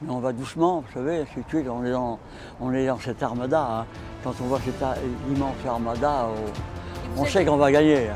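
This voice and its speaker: A man's voice comes at a moderate pace, with music in the background. It sits at a medium pitch and shows ordinary pitch variation. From Brittany, France. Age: 80s+. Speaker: war veteran. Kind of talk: interview answer.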